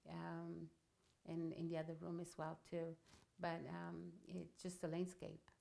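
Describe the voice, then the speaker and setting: A woman with an Italian accent at a fairly slow pace. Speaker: painter. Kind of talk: casual interview conversation. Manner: hesitant, many fillers.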